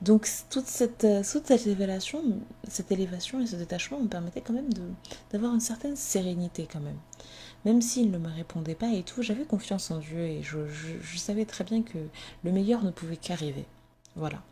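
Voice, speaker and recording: The voice has a dark, mellow tone and is somewhat breathy. It moves at a fairly quick pace with lively intonation. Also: woman, medium pitch for a woman. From Comorian heritage, French-speaking. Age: 20s. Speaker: podcaster. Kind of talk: personal testimony. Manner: hesitant, many fillers.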